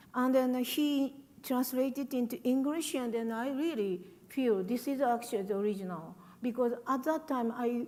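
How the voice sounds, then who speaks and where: A woman with a Japanese accent speaks in a high voice that has a dark, mellow tone. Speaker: writer. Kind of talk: panel talk.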